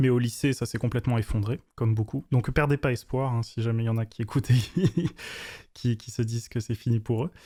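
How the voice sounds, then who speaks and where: This man talks at a fairly quick clip with a dark, mellow tone, somewhat breathy and with fairly even intonation, on a very clean recording with a silent background. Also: medium pitch for a man. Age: 20s. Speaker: web developer and YouTuber. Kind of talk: interview. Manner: hesitant, many fillers.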